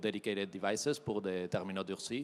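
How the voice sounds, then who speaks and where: With a Spanish accent, a man talks at a fairly low pitch with fairly even intonation, in a very clean recording with a silent background. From Spain. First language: Spanish (speaking French). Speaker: tech company regional manager. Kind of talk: keynote presentation. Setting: trade show stage with audience.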